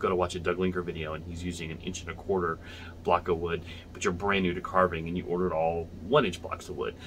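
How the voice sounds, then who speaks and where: A man with a very deep, low pitch speaks very fast in a flat monotone over light background noise. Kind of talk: tutorial. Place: home room. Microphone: phone near.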